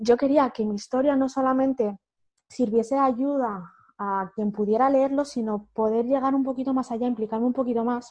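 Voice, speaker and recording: Speaking at a moderate pace, a woman with a high pitch keeps her intonation fairly even. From Spain, Madrid region (Humanes, south of Madrid). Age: 30s. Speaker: author and educator. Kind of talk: interview conversation.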